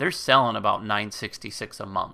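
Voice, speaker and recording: A man speaks at a moderate pace with a bright, sharp tone. The recording is very clean, with a silent background. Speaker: YouTuber teaching Amazon selling. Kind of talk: screen-share tutorial. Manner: casual, many fillers.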